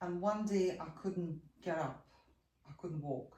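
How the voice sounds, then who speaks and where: Audible room echo surrounds a woman with a fairly low voice. She speaks at a fairly slow pace with ordinary pitch variation. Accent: Ukrainian. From Ukraine. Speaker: yoga and posture teacher. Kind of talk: interview.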